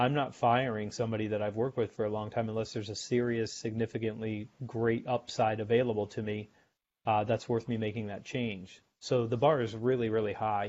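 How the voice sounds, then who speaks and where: Over a quiet background, a man speaks fairly quickly in a monotone, flat delivery at a medium pitch. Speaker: sales author and guest. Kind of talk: casual interview chat.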